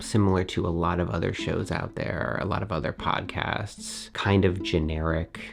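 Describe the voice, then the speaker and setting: A man speaks at a fairly slow pace with a very deep, low pitch and vocal fry. His intonation is lively. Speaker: YouTuber and podcast host. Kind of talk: casual vlog talk to camera. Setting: home studio.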